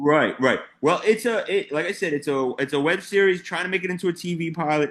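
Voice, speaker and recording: A man with a New York accent, high-pitched, at a fairly quick pace, with ordinary pitch variation. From New York, Queens. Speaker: comedian. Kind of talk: casual chat. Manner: halting.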